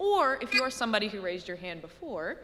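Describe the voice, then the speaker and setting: Audible room echo and noticeable background noise surround a woman whose intonation is lively. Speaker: middle school band teacher. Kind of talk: presentation to a school board. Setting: board meeting room with microphone. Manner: loud; casual, chatty.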